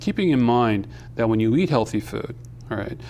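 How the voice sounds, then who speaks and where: A man at medium pitch with an unremarkable speaking voice and a fairly quick pace. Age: 50s. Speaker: food advocate, retired navy chief. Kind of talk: TV talk show interview. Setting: TV studio.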